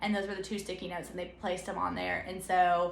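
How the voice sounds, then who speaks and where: With audible room echo and noticeable background noise, a woman speaks with an American accent. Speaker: new elementary school teacher. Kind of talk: casual vlog talk. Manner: fast.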